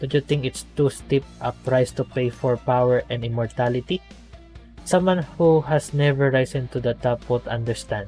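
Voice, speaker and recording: A man with a non-native accent speaks at medium pitch and fairly even intonation while music plays in the background. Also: moderate pace. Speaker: gameplay commentator. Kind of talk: reading game dialogue aloud.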